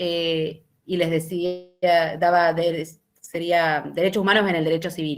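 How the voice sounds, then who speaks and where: Speaking at a fairly slow pace, a woman uses a fairly low pitch. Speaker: university lecturer. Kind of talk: lecture.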